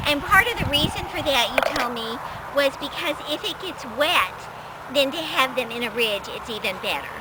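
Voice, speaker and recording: A woman speaks at a high pitch with lively intonation. Noticeable background noise can be heard. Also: moderate pace. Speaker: gardening video host. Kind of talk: casual talk to camera, explaining a gardening demonstration.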